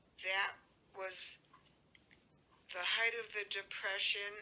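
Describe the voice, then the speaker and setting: A woman talks with a Massachusetts accent at a medium pitch. Her tone is bright and sharp. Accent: New England (Massachusetts). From Worcester, Massachusetts. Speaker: elderly mother recounting her life. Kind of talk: oral history interview. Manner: halting, with frequent fillers.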